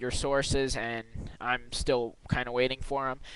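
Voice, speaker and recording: Mumbling man at a medium pitch and moderate pace. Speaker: video blogger responding to another video. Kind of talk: video response, casual argument. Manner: halting, stuttering.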